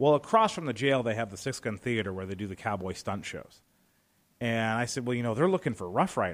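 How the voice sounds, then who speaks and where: A man's normal speaking voice at medium pitch, with an American accent and a fairly quick pace, on a very clean recording with a silent background. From Northwest Indiana, near Chicago. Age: 40s. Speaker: broadcasting operations director and stunt performer. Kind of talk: radio interview.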